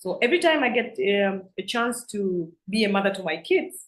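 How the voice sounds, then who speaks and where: A woman speaks at a fairly quick pace in a somewhat breathy, medium-pitched voice with lively intonation. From Tanzania, Singida region. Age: young. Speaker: member of parliament. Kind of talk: interview.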